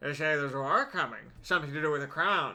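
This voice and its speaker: Using a put-on character voice, a man talks at a very fast pace, gravelly and fairly high-pitched with fairly even intonation. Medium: game stream. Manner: thick, hard to understand.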